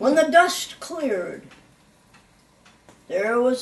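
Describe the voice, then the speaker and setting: A woman performs a put-on character voice. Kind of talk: read-aloud children's story. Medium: read story. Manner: conversational, confiding.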